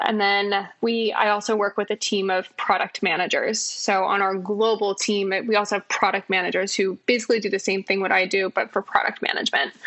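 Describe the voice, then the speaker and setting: The woman's pitch is medium. Background noise is noticeable throughout. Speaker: design executive. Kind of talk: podcast interview.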